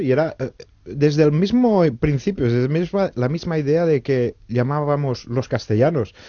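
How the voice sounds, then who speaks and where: This man talks at a moderate pace. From Catalonia. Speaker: novelist. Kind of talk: radio interview.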